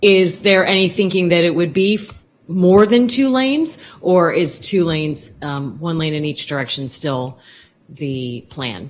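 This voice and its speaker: Loud and fairly low, a woman's voice swings very widely in pitch. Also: fairly slow pace. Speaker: TV news reporter. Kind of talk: question at public meeting. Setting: public meeting hall.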